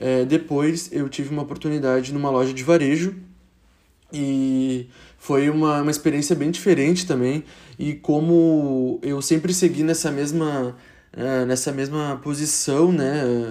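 Fairly high in pitch, a man speaks with a dark, mellow tone. His intonation is fairly even, and his pace is fairly slow. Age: 20s. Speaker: marketing professional. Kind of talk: podcast interview. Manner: hesitant, many fillers.

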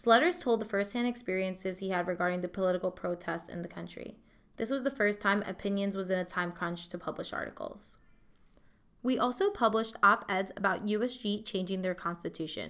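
At a fairly quick pace, a woman speaks in a normal speaking voice with a medium pitch and ordinary pitch variation. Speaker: opinions editor. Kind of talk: scripted newsreading.

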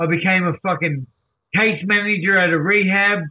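A man speaks with an Australian accent at a high pitch. His pace is moderate, with ordinary pitch variation. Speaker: recovery advocate. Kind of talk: casual interview storytelling. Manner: animated.

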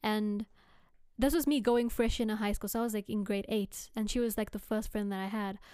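Her tone dark and mellow, a woman speaks at a fairly high pitch with fairly even intonation. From South Africa. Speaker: podcast co-host. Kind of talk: casual chat.

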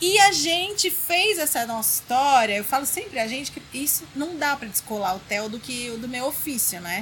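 Amid noticeable background noise, a woman with a high pitch talks at a moderate pace with hardly any pauses, very wide pitch swings and big swings in loudness. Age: 40s. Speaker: designer and blogger. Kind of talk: interview chat. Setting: in person.

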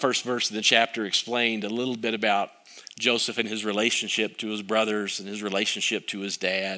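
At a moderate pace, a man with a plain, everyday voice speaks at a medium pitch. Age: 50s. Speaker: pastor. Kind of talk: sermon.

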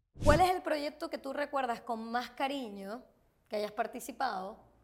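A woman's high voice, with lively intonation, comes through noticeable background noise. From Venezuela, Maracaibo. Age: young. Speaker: podcast host. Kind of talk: interview. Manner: animated.

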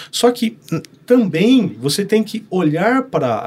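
His pitch is high for a man. It swings very widely as he speaks. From northern Paraná, Brazil (Norte Pioneiro). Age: 30s. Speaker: pastor. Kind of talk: casual chat.

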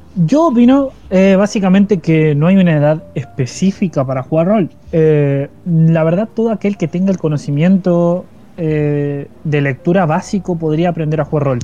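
A man's voice sits high in pitch, with ordinary pitch variation. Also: moderate pace. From Argentina, Paraná, Entre Ríos. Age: 20s. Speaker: tabletop roleplaying YouTuber and podcast co-host. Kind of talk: casual chat. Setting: live stream.

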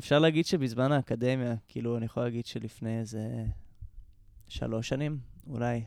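At a fairly quick pace, a man with a medium pitch and fairly even intonation speaks with long, frequent pauses. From Israel, Jerusalem. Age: 20s. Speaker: musician and composer. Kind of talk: casual interview.

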